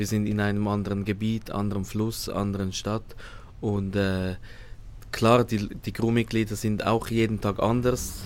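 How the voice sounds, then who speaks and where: A man speaks at a moderate pace in a fairly low pitch. His intonation stays flat and monotone. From Switzerland. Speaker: cruise ship hotel manager. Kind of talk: interview. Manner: halting, hesitant.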